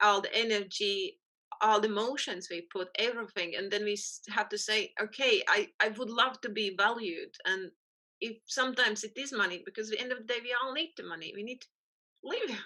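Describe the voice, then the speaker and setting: Fairly high-pitched woman's voice in a strong Latvian accent, bright and sharp in tone, at a fairly quick pace with ordinary pitch variation. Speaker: photographer. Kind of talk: interview conversation. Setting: podcast recording.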